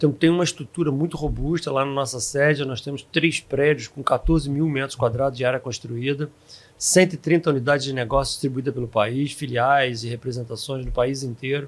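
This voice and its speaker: A man's normal speaking voice, fairly high in pitch, fairly even in intonation, at a fairly quick pace with hardly any pauses. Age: 60s. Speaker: software company founder. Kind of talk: podcast interview. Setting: recorded at a live event.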